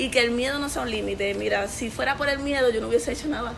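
Very fast and fairly high-pitched, a woman speaks over noticeable background noise with audible room echo. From Puerto Rico, Corozal. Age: 20s. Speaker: women's ministry leader. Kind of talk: interview.

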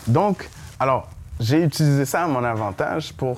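A man with a Haitian accent speaks with lively intonation. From Haiti, raised in Montreal from age 8. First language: Haitian Creole (speaking French). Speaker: engineer and entrepreneur. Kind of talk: interview before live audience. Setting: bar venue with audience.

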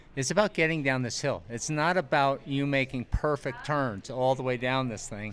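In a very clean recording with a silent background, a man with an American accent uses a normal speaking voice at medium pitch, moving at a moderate pace with hardly any pauses and ordinary pitch variation. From US East. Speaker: ski instructor coach. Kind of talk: casual interview.

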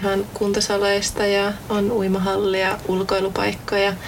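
A woman with a medium-pitched voice is heard over noticeable background noise, with audible room echo. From Central Finland, near Jyväskylä. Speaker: student podcast host. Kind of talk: casual chat. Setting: studio.

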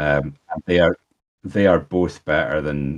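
In a Scottish accent, a man speaks with a very deep, low pitch and fairly even intonation. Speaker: podcast co-host, tournament organiser. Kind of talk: casual chat.

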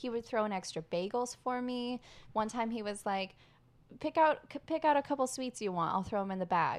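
A woman with a fairly high pitch speaks at a fairly quick pace in an unremarkable speaking voice. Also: lively intonation. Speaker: podcast host. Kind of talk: casual chat. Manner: excitable.

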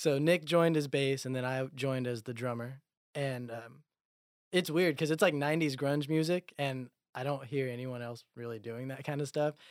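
This man has a normal speaking voice, a medium pitch, fairly even intonation and a moderate pace. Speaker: musician. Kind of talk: casual chat.

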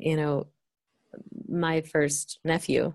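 A woman with an American accent speaks at a fairly low pitch. Her tone is dark and mellow. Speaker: marriage and family therapist. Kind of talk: interview conversation.

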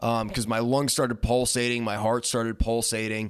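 At a moderate pace, a man speaks in a medium pitch with a plain, everyday voice on a very clean recording with a silent background. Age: 20s. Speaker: podcast co-host. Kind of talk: casual chat.

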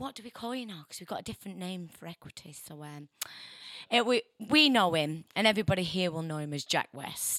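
Speaking very fast with a northern English accent, this voice has very wide pitch swings, an animated, bright and sharp tone, and a dry, close sound with no echo. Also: woman, medium pitch for a woman. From northern England. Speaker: radio presenter. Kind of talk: casual radio chat. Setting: radio studio. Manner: chatty, jokey, animated.

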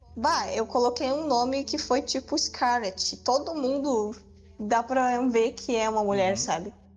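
With music in the background, a high-pitched woman speaks at a fairly slow pace and a very even loudness. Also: ordinary pitch variation. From southern Brazil. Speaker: gamer. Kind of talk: casual chat.

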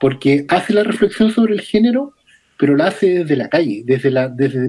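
The speaker has a Chilean accent and keeps a moderate pace. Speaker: film podcast panelist. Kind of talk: casual chat.

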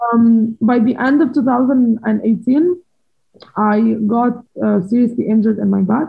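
With a normal speaking voice, a woman with a fairly high pitch talks at a fairly slow pace, showing ordinary pitch variation and very even loudness. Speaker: former professional squash player. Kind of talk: interview.

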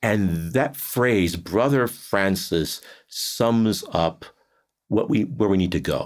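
Very slowly, a man speaks in a fairly low voice with ordinary pitch variation. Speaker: priest and theology professor. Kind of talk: interview.

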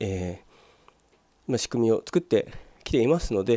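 The man talks at a fairly quick pace in a dark, mellow tone. The sound is dry and close, with no echo. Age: 40s. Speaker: solo business podcaster. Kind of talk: solo monologue. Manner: polite, formal.

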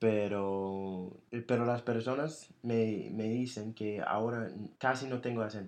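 At a very slow pace, a man talks with a medium pitch and fairly even intonation. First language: English (speaking Spanish). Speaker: podcast host. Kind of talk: casual chat.

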